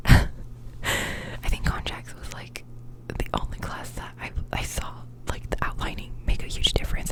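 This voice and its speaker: A woman whispering at a moderate pace, with noticeable background noise. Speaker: law student. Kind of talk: ASMR whispered rant. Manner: whispered, soft-spoken.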